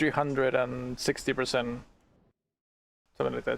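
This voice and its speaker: Speaking at a fairly quick pace, a man has a non-native accent. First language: not English. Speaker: streamer. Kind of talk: casual chat.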